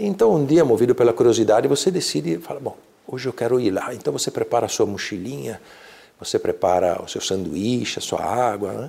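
A man's medium-pitched voice has a dark, mellow tone, vocal fry and very wide pitch swings. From Brazil, São Paulo. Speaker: leader of a mystical order. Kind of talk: interview. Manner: halting.

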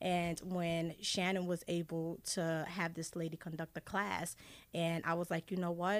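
A plain, everyday voice from a woman, fairly low and fairly even in intonation, on a very clean recording with a silent background. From Haiti, raised in US from age seven. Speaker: essential oils wellness advocate. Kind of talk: radio interview.

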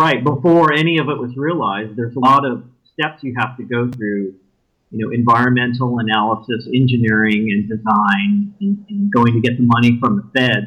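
A man with an American accent and an ordinary speaking voice talks fairly quickly at a medium pitch, his intonation lively. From West Texas (El Paso). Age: 50s. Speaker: podcast dating show bachelor, urban planner. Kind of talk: casual interview. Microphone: audio issues.

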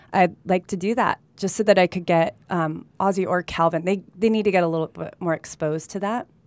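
A normal speaking voice with an American accent, fairly quick delivery, hardly any pauses and fairly even intonation, in a very clean recording with a silent background and a dry, close sound with no echo. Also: woman, medium pitch for a woman. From California, with time in Colombia. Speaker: real estate agent. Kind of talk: casual interview chat. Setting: studio.

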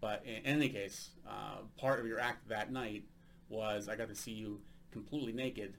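A man's fairly low voice with vocal fry, at a moderate pace and with fairly even intonation. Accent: American. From United States. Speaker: podcast host and stand-up comedian. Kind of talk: casual interview chat.

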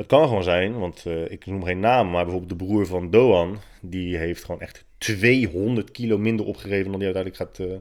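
A man's very deep, low voice with ordinary pitch variation, in a very clean recording with a silent background. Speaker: podcast host and fitness writer. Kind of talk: casual solo monologue. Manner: hesitant, many filler sounds.

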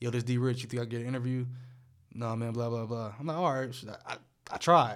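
Audible room echo surrounds a man who talks at a very fast pace yet leaves long, frequent pauses. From US Midwest, Akron, Ohio. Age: 20s. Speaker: podcast host. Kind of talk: casual chat.

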